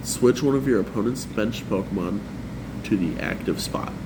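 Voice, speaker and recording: A man at a medium pitch talks fairly quickly with lively intonation, in a room with audible echo and noticeable background noise. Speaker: card game content creator. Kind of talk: tutorial.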